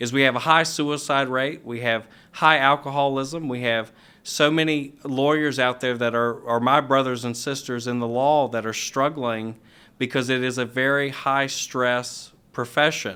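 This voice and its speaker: With a slight Virginia accent, a man speaks at a medium pitch in a bright, sharp tone and fairly even intonation. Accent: slight Virginia twang. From US South, Roanoke Virginia. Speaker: elder law attorney. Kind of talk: podcast interview.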